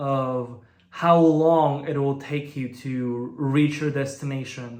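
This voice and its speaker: A man with a Bulgarian accent at a very slow pace, with audible room echo. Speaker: language learning youtuber. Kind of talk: vlog monologue.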